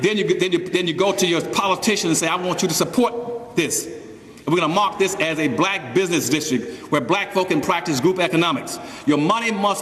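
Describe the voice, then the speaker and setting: An animated man speaks at a fairly quick pace with a high pitch and ordinary pitch variation. Audible room echo and noticeable background noise fill the recording. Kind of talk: public speech. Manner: fast.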